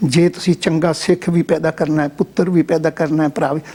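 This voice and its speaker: A man's fairly high, dark and mellow voice, monotone and flat, at a moderate pace. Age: 70s. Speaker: Sikh religious scholar and former head priest. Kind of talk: interview. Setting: studio.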